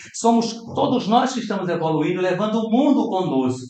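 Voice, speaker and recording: Audible room echo surrounds a man speaking at a moderate pace with lively intonation. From Brazil. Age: 60s. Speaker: spiritist lecturer. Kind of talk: lecture. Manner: animated.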